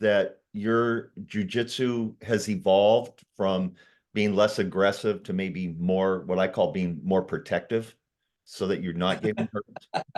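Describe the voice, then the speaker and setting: Against a quiet background, a man with an American accent and a fairly low pitch talks at a fairly slow pace in a normal speaking voice. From Southern California. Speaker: interviewer and author. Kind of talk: interview.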